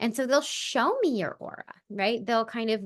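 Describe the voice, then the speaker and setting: A woman talks at a moderate pace with fairly high pitch and ordinary pitch variation, in a plain, everyday voice. The background is quiet. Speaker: spiritual medium and podcast host. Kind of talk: casual podcast monologue. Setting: recording with a baby in her arms.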